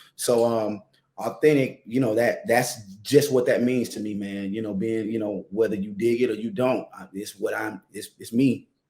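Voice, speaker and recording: Speaking at a moderate pace with an American accent, a man has a medium pitch, fairly even intonation and big swings in loudness. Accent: Atlanta accent, toned down here. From US South, Atlanta (Southwest Atlanta). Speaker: singer-songwriter. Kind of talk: interview. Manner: halting, many fillers.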